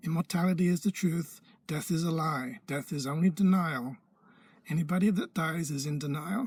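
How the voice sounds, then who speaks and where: In a very clean recording with a silent background, a man speaks high at a moderate pace with ordinary pitch variation. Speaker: spiritual teacher. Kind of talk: video lecture to camera. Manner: animated; emphatic.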